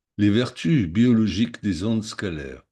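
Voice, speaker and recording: A man's fairly low, dark and mellow voice at a fairly slow pace, with ordinary pitch variation over a quiet background. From Germany, Munich. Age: 60s. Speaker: psychotherapy practitioner and product seller. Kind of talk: sales pitch. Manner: list-like reading.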